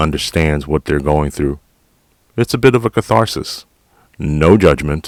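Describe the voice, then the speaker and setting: With a New York accent, a man speaks at a very deep, low pitch, the sound dry and close with no echo. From New York City, Queens. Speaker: podcast host, retired police officer. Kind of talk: casual monologue. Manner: direct.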